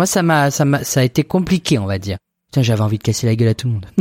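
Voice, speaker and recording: A man in a normal speaking voice talks at medium pitch with lively intonation, recorded dry and close with no echo, very clean, over a silent background. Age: 30s. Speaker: podcast co-host. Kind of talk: casual chat.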